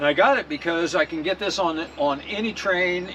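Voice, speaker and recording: An American man with a fairly high pitch and ordinary pitch variation talks at a moderate pace over noticeable background noise. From US Midwest (Nebraska). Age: 70s. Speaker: cycling vlogger. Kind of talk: tutorial. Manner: casual, halting.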